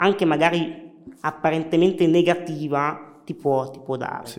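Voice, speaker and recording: A man with a fairly high voice speaks very slowly, his intonation fairly even. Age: 30s. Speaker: wheelchair hockey champion and lawyer. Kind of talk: interview.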